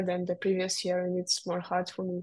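Against a quiet background, a woman speaks with a Russian accent. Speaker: racing driver. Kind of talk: interview. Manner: halting.

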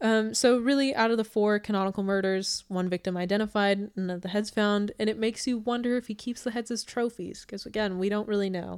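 A woman talks at a fairly quick pace. Her pitch is medium, with ordinary variation. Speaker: podcast host, true crime storyteller. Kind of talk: casual chat, true crime narration. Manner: fast talker, laughs often; playful, joking.

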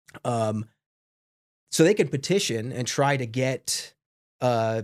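A man with an American accent uses a normal speaking voice at medium pitch with fairly even intonation. The recording is very clean, with a silent background. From New York, Long Island. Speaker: political science professor. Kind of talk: interview.

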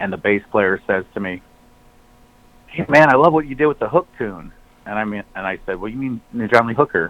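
A man with an American accent talks at a fairly quick pace, with lively intonation, big swings in loudness and long, frequent pauses. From US Midwest (Flint, Michigan). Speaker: singer and musician. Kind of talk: casual chat. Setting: phone call. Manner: rambling.

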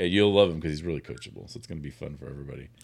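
A man speaks with vocal fry at a very deep, low pitch, using ordinary pitch variation. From Sacramento area, California. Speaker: radio host. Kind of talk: casual chat.

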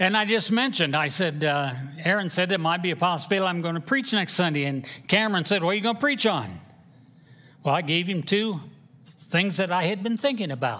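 Quick-paced and high-pitched, a man's voice comes through with a bright, sharp tone. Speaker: preacher. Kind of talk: sermon. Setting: church.

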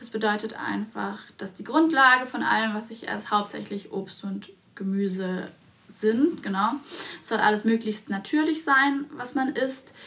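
A woman with a fairly high pitch speaks at a fairly slow pace, with ordinary pitch variation, big swings in loudness and noticeable background noise. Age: 20s. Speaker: dentist and podcast co-host. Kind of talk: casual chat.

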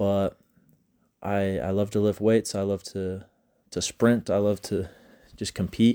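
With a Utah accent, a man speaks at a fairly low pitch in a dark, mellow tone, flat and monotone, fairly slowly with long, frequent pauses, the sound dry and close with no echo on a very clean recording with a silent background. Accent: Utah American English. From Utah, US. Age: 20s. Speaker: college student podcaster. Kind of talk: casual solo monologue. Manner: halting, with frequent repeated words.

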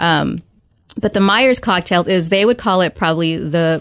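Speaking in an unremarkable speaking voice, a woman has fairly low pitch and ordinary pitch variation. The recording is very clean, with a silent background. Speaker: nurse practitioner. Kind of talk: radio interview. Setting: studio.

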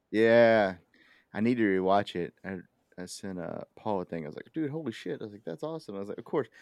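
In an unremarkable speaking voice with an American accent, a man talks at a fairly quick pace with a fairly low pitch, lively intonation and big swings in loudness, recorded dry and close with no echo over a quiet background. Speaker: rugby podcast host. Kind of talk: casual banter. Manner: joking, bawdy.

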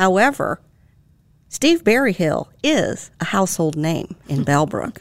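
A woman's medium-pitched voice with vocal fry and very wide pitch swings, at a fairly slow pace. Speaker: author and podcast co-host. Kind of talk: podcast conversation, interview.

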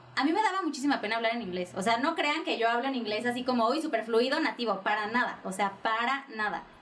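Over noticeable background noise, a woman speaks very fast with lively intonation. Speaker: office worker and social media creator. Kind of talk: casual interview chat.

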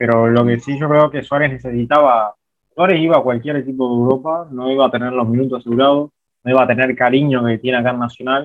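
A man at a very fast pace, medium pitch, with fairly even intonation. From Uruguay, interior (outside Montevideo). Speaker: documentary filmmaker. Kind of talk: interview.

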